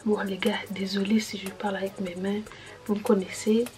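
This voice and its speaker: Soft-spoken and monotone, a woman talks at a fairly slow pace with flat intonation amid noticeable background noise. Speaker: YouTuber giving advice on student jobs. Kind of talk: casual vlog. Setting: at home late at night, family asleep. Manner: soft-spoken, talking quietly.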